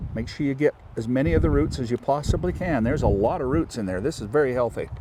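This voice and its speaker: At a fairly quick pace, a man speaks with very wide pitch swings over noticeable background noise. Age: 60s. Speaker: farmer. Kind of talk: tutorial.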